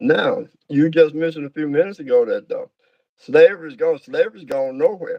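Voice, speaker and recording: A man with a Georgia accent, fairly high pitch, lively intonation, a dark, mellow tone, a fairly quick pace, and a dry, close sound with no echo. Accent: Southern US, Georgia. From US South, Georgia (south of Atlanta). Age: 70s. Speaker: minister. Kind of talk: interview, life story. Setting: livestream. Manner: halting, many fillers.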